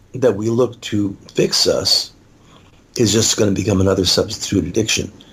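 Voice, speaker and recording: Speech comes at a moderate speed in a somewhat breathy voice. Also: man. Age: 60s. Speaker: author and speaker on addiction recovery. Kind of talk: interview.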